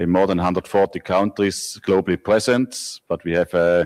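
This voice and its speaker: A man with a Swiss accent talks at a fairly quick pace in a fairly low voice with ordinary pitch variation. The recording is very clean, with a silent background. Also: dry, close sound with no echo. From Switzerland. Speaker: company managing director. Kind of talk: conference presentation.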